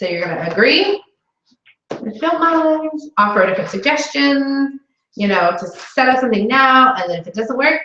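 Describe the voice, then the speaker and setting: A woman with a high voice speaks at a moderate pace in an animated tone, her voice raised and projected, with very wide pitch swings and big swings in loudness. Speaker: sales consultant trainer. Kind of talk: training session.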